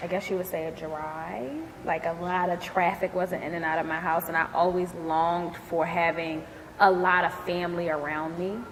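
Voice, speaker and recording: A woman with a Philadelphia accent talks at a moderate pace in a fairly low pitch with monotone, flat intonation, over noticeable background noise. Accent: Philadelphia American English. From US, Philadelphia. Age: 30s. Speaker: entrepreneur, dance company owner. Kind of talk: interview testimony.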